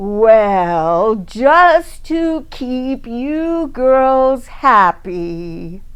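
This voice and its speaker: A woman's high-pitched, put-on character voice at a very slow pace with hardly any pauses. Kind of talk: storybook reading. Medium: read story. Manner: terse, authoritative, cool.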